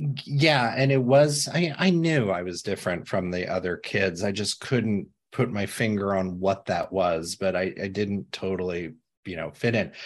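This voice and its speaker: An ordinary speaking voice with an American accent, lively intonation and a moderate pace over a quiet background. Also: man, fairly low pitch for a man. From US Midwest, small-town Indiana. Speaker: founder and CEO of an insights firm, author. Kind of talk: interview conversation.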